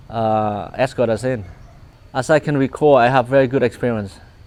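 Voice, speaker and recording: A man with a Vietnamese accent speaks at a medium pitch and a moderate pace, keeping his intonation fairly even. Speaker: refugee immigrant interviewee. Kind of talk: personal testimony interview. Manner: halting with many repetitions.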